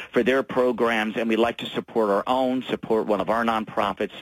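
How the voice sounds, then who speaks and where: Moderate pace in a dry, close sound with no echo. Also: man. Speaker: business association representative, radio guest. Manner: smooth, fluent, unscripted delivery.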